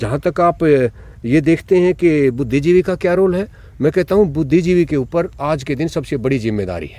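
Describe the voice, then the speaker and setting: Dark and mellow in tone, this voice moves at a moderate pace with lively intonation. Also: man, fairly high pitch for a man. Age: 60s. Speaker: retired college principal. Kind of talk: interview.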